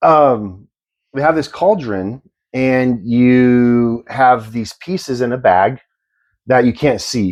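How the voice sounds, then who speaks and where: A man speaks at a very slow pace in a medium pitch with ordinary pitch variation. His words come out mumbled. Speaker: podcast co-host. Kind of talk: casual chat. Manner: mumbling.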